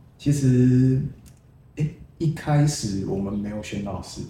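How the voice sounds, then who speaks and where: A man speaks fairly slowly at a medium pitch with ordinary pitch variation. Audible echo fills the room. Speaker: poet. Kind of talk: casual interview.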